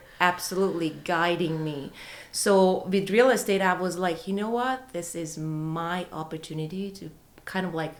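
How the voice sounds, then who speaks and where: A woman speaks at a moderate pace with ordinary pitch variation. Her loudness swings widely, and the room echo is audible. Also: fairly low pitch for a woman. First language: not English. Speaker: real estate agent. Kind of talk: podcast interview.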